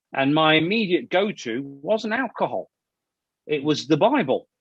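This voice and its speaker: With an East Midlands accent and lively intonation, a man speaks in a dry, close sound with no echo. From Leicestershire, England. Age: 40s. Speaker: actor and filmmaker. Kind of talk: interview. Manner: halting, many repetitions; loud.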